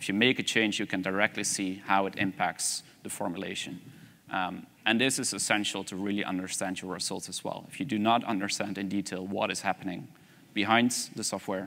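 A man with a Dutch accent talks in a fairly low pitch with a bright, sharp tone. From Netherlands. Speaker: energy systems researcher; conference presenter. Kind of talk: conference presentation.

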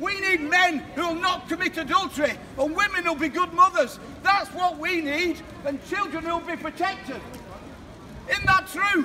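With a raised, projected voice, a man speaks at a moderate pace in an extremely high pitch, his intonation fairly even, amid noticeable background noise. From England. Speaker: street preacher. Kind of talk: open-air street preaching. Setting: outdoors, street. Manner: loud, forceful, exhortative. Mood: confrontational, emotional. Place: street. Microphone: camera far.

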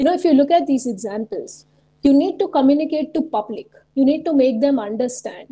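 In an Indian accent, a woman talks at a fairly quick pace with lively intonation and a high pitch. Her tone is dark and mellow, and the background is quiet. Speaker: researcher and science communicator; webinar presenter. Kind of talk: webinar presentation. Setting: video call. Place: home room. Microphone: webcam.

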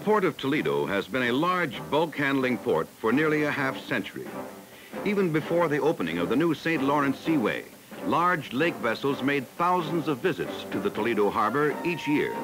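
With noticeable background noise behind him, a man speaks at a moderate pace. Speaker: documentary narrator. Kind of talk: documentary narration. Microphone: old recording.

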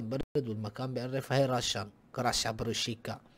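A man's animated voice at a very fast pace. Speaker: gaming YouTuber. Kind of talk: casual vlog commentary.

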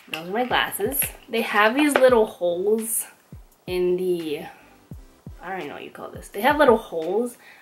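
Faint music sits in the background. The speaking pace is moderate. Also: woman. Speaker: vlogger. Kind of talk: casual vlog chat. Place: home room. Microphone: phone near.

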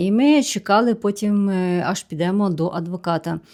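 An ordinary speaking voice from a woman at medium pitch, with ordinary pitch variation, comes through on a very clean recording with a silent background. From Ukraine. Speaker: vlogger. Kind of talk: Q&A vlog monologue.

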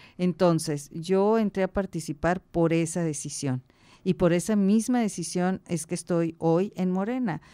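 A woman's fairly slow, fairly low-pitched voice with a dark, mellow tone against a quiet background. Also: ordinary pitch variation. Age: 60s. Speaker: political candidate; candidate. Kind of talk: radio interview. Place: studio. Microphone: studio mic.

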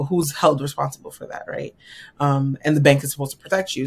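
A woman with an American accent speaks at a very deep, low pitch, somewhat breathy. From New York. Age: 30s. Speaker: financial strategist; podcast guest. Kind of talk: interview. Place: home room.

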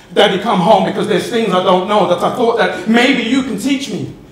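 A man talks at a fairly quick pace in a high pitch with ordinary pitch variation. Audible room echo surrounds his voice. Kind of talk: performed poetry monologue. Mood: emotional, yearning. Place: stage.

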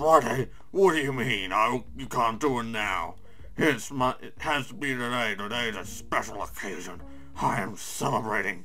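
A man in a put-on character voice speaks at medium pitch and a moderate pace, leaving long, frequent pauses over clear background music. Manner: celebratory, insistent.

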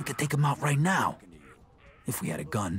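A man whispers in a put-on character voice at a fairly quick pace. Clear music plays in the background. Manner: loud whisper.

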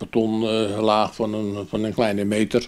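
A man speaks with a fairly low pitch. His intonation stays flat and monotone. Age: 80s+. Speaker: miller. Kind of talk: interview answer. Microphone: handheld.

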